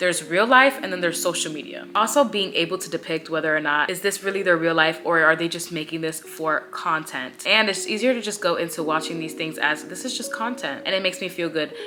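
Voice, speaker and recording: Animated and very fast with hardly any pauses, a woman speaks at a fairly low pitch with lively intonation over noticeable background noise. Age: 20s. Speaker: lifestyle vlogger. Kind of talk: casual chat.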